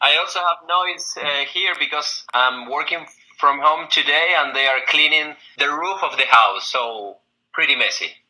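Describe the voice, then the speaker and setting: A man with an Argentine accent, fairly high in pitch, at a moderate pace with ordinary pitch variation. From Argentina. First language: Spanish. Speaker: recruiter. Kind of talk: job interview.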